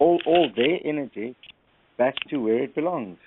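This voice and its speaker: Using lively intonation, a man with a South African accent talks at a fairly slow pace and a fairly high pitch. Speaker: caller. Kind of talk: casual chat. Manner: halting.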